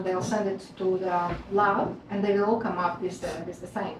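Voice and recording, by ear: Moderate pace, little pitch movement and audible room echo. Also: woman.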